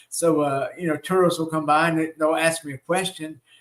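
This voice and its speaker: With a Southern US accent, a man talks in a fairly high voice using fairly even intonation. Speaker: shamanic teacher. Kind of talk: live online teaching with Q&A. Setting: live stream. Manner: hesitant, many fillers.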